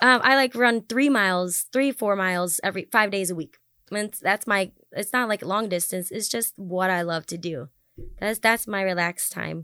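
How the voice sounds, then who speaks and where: On a very clean recording with a silent background and a dry, close sound, a woman with an American accent speaks at a moderate pace in a bright, sharp tone, her medium pitch varying in an ordinary way. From US Midwest, Wisconsin. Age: 30s. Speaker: singer. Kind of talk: casual chat.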